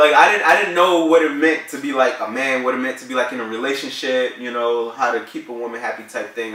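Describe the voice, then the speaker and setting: A man talks very fast, with noticeable background noise and audible room echo around him. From New Jersey, Newark. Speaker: vlogger. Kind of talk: casual chat. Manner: animated.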